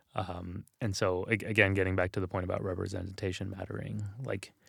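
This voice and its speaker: A man with an American accent speaks at a moderate pace in a very deep, low pitch, with vocal fry and fairly even intonation. The recording is very clean and the background silent. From Texas, San Antonio. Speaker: religious scholar and author. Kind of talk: interview conversation. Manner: casual, many fillers and repetitions.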